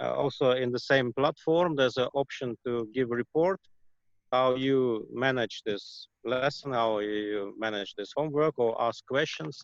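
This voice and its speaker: With a Russian accent, a man speaks fairly slowly at a medium pitch, his pitch varying in an ordinary way. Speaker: shaman and healer. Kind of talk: interview. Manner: halting, many fillers.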